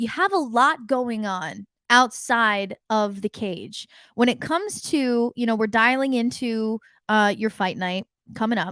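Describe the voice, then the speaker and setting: On a very clean recording with a silent background and a dry, close sound with no echo, a woman speaks at a fairly slow pace with a fairly high pitch and a bright, sharp tone. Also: ordinary pitch variation. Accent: American. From United States. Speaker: podcast host. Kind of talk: interview.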